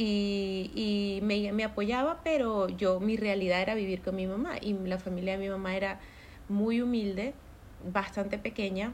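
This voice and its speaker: A woman with a plain, everyday voice, medium in pitch, fairly slow in pace, with fairly even intonation. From Maracaibo, Venezuela. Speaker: entrepreneur. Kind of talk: casual chat.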